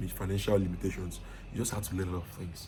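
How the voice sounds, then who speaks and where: A man's fairly low voice, monotone and flat, with audible room echo. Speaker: IT consultant and online course teacher. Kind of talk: lecture. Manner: fast; casual.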